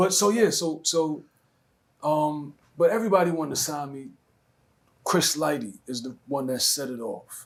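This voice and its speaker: A man with a Brooklyn accent, fairly high in pitch and lively in intonation, at a moderate pace with long, frequent pauses and big swings in loudness. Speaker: rapper. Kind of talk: interview answer.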